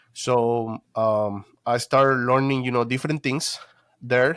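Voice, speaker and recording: In a Spanish accent, a man speaks at a fairly slow pace and medium pitch with fairly even intonation, in a very clean recording with a silent background. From Guatemala. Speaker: detailing business owner. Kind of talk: interview, personal story. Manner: halting, many fillers.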